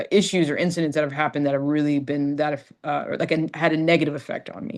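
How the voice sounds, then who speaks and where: Talking very fast, a woman uses a very deep, low pitch and fairly even intonation. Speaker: orthopedic surgeon. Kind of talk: panel discussion. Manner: halting.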